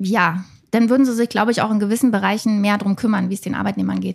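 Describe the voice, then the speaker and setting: Her voice sits at a medium pitch. The woman talks very rapidly. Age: 30s. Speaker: self-employed graphic designer and online shop owner. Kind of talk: casual discussion.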